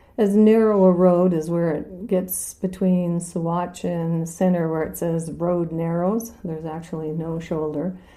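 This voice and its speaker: With audible room echo, a woman speaks at a fairly slow pace in a fairly low pitch, her dark, mellow tone carried by monotone, flat intonation. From North Dakota. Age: 60s. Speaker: local resident telling her story. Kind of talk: personal storytelling interview.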